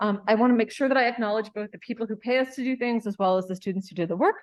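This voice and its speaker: Her pace is very fast. A woman speaks with a fairly high pitch. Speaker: professor. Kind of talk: lecture.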